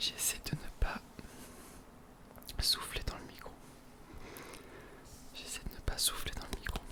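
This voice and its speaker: A man whispering at a fairly slow pace, with long, frequent pauses and noticeable background noise. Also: big swings in loudness. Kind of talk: ASMR multi-trigger talk to camera. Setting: close to the microphone at home. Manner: soft-spoken, whispering.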